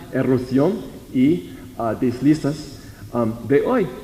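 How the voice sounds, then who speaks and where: This man has an English accent and a medium pitch. Noticeable background noise and audible room echo come through. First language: English (speaking Spanish). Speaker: researcher presenting at a conference. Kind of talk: conference presentation. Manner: halting, many repetitions and false starts.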